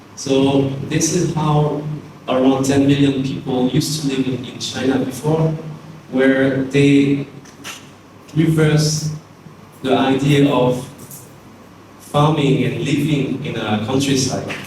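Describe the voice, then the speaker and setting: A man with a French accent talks very slowly in a fairly high, monotone voice, leaving long, frequent pauses, with audible room echo and noticeable background noise. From France. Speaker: architect and teacher. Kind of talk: lecture.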